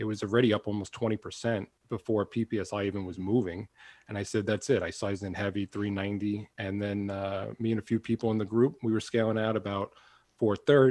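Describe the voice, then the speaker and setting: A man with a Long Island accent, fairly low-pitched and fairly quick, in a dry, close sound with no echo. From Long Island, New York. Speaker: trading podcast co-host. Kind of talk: casual chat. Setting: working from home.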